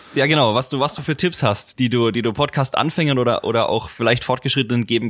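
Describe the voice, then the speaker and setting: At a very fast pace, a man with a Franconian accent speaks at a medium pitch with ordinary pitch variation. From Franconia, Germany. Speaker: podcast host. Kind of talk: interview.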